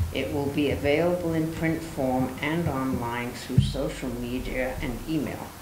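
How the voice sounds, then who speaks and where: The pace is fairly slow. Noticeable background noise sits behind the voice. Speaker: board member reading the report. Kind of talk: reading meeting report aloud. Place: meeting room. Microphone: podium.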